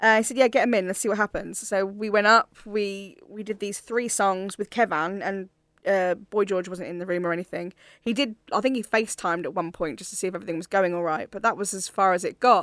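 A woman with a plain, everyday voice speaks at a medium pitch and a fairly quick pace. Her pitch variation is ordinary, on a very clean recording with a silent background. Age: 30s. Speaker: singer and vocal coach. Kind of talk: interview.

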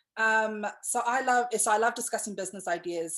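The speaker has a New Zealand accent. The tone is animated. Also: woman. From New Zealand, Pacific islander. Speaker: podcast host and brand agency owner. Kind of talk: casual chat interview. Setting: video call. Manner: animated, chatty, excitable.

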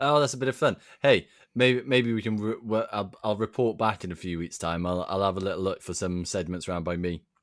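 A man speaks in an ordinary speaking voice, fairly low in pitch and at a fairly quick pace. His pitch varies in an ordinary way, and the recording is very clean with a silent background. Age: 20s. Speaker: podcast host. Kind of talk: casual chat.

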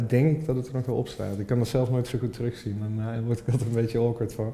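Speaking at a very fast pace, a man with a medium pitch sounds somewhat breathy. His tone is dark and mellow, his intonation monotone and flat. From Limburg, Netherlands (Horst). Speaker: copywriter and band musician. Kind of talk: casual chat.

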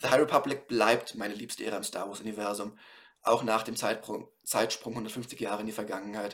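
At a moderate pace, a man talks in a normal speaking voice of medium pitch with fairly even intonation. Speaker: podcast host reviewing books. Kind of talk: solo book review.

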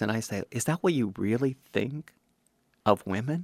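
A man's plain, everyday voice at a moderate pace with ordinary pitch variation. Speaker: actor. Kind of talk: interview. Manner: emotional.

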